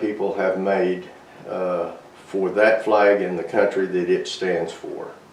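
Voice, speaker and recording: Over noticeable background noise and audible room echo, a man speaks at a very slow pace in a fairly low, monotone, flat voice. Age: 70s. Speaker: army veteran. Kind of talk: interview testimony. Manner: halting.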